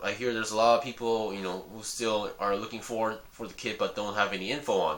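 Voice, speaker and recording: Noticeable background noise accompanies a man speaking with a Korean accent. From South Korea, with early schooling at an American school. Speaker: hobby YouTuber reviewing model kits. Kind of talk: casual vlog talk. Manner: halting, with many fillers and restarts.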